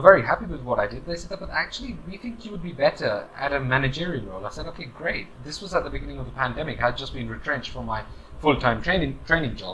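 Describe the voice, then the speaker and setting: Very fast male speech in a British accent, noticeable background noise. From UK. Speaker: corporate trainer. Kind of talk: advice monologue. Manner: casual, hesitant with fillers.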